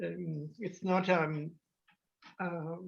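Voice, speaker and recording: A woman with an Italian accent, fairly low in pitch, with monotone, flat intonation. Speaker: artist in residence. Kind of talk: casual group discussion. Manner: halting, many hesitations.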